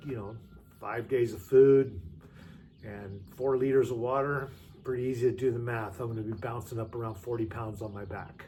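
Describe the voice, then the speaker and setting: In a room with audible echo, a man speaks at a moderate pace and medium pitch, his tone dark, mellow and somewhat breathy, his intonation fairly even and his loudness swinging widely. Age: 60s. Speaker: hiker and vlogger. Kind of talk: gear tutorial. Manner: casual with frequent fillers.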